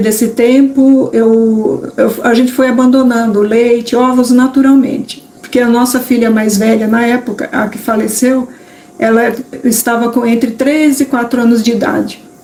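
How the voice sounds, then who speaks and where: Against noticeable background noise, a woman speaks at a moderate pace in a high pitch with fairly even intonation. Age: 60s. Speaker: vegan cooking youtuber. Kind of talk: live stream talk. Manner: halting.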